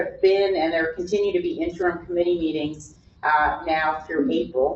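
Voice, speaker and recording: A woman's fairly low voice, a normal speaking voice, with ordinary pitch variation at a fairly slow pace. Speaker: county association staff presenter. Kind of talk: presentation to board.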